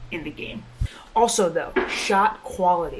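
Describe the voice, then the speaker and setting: With noticeable background noise behind her, a woman talks at a medium pitch with ordinary pitch variation. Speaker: basketball trainer vlogger. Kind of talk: vlog tutorial. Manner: casual; quiet.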